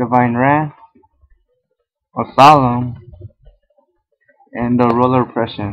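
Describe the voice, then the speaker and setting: A man's monotone, flat delivery at a fairly slow pace, broken by long, frequent pauses. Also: medium pitch for a man. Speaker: card game YouTuber. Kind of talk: tutorial. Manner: stuttering.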